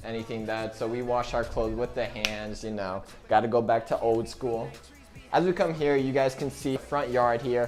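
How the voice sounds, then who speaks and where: Music plays in the background as a man talks at a moderate pace and medium pitch with ordinary pitch variation. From United States. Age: young. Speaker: vlogger. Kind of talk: casual talk to camera.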